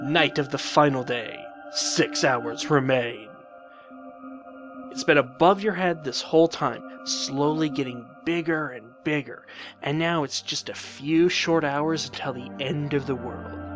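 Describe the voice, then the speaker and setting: Music in the background behind a man at a fairly slow pace, fairly high in pitch, with lively intonation. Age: adult. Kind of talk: video game commentary. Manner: excited, upbeat.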